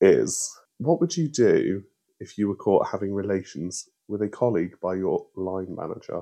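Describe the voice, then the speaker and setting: At a fairly slow pace, a man with a British accent talks with big swings in loudness. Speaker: podcast co-host. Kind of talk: casual chat.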